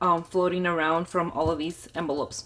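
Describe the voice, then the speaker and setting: A woman talks at a fairly quick pace on a very clean recording with a silent background. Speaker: budgeting vlogger. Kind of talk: casual budget tutorial. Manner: louder than usual.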